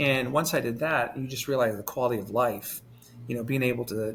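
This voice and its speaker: Fairly quick male speech at a medium pitch, with fairly even intonation and music in the background. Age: 40s. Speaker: former morning news anchor, show host. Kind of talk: interview. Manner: casual, conversational.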